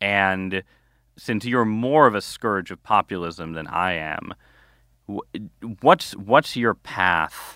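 A man with a bright, sharp tone speaks at a very slow pace with long, frequent pauses and big swings in loudness, on a very clean recording with a silent background and a dry, close sound with no echo. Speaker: newspaper columnist and author. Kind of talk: interview conversation.

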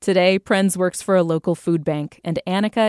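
A woman talks at a fairly quick pace with a fairly low pitch and ordinary pitch variation. Her unremarkable speaking voice sounds dry and close, with no echo. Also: very clean recording, silent background. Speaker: radio host. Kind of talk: news reading. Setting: studio.

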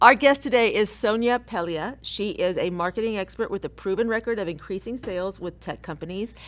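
In an unremarkable speaking voice, a woman talks at a fairly high pitch and a fairly quick pace with hardly any pauses, ordinary pitch variation and big swings in loudness, recorded very cleanly against a silent background. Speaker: podcast co-host. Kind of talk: casual chat.

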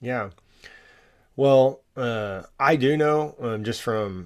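A man with an American accent and ordinary pitch variation, on a very clean recording with a silent background. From Texas, Allen. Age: 30s. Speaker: nonprofit founder, father. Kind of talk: interview conversation.

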